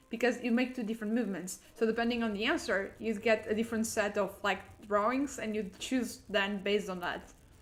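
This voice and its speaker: With a non-native accent, a woman speaks at a fairly high pitch and a fairly quick pace. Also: fairly even intonation, hardly any pauses. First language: not English. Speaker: gaming streamer. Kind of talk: live gameplay commentary. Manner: halting, repeats words.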